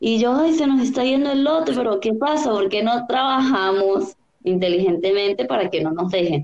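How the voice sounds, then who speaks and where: In an unremarkable speaking voice, a woman talks at a moderate pace, fairly high in pitch, with lively intonation. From Venezuela, Táchira. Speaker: olympic open water swimmer. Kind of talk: interview.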